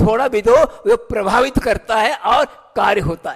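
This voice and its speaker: This is a man's voice. His pitch sits high. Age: 60s. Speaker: Jain monk. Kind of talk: sermon.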